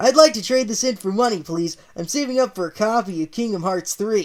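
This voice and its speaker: A put-on character voice at a fairly high pitch and a fairly quick pace. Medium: read story. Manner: enthusiastic.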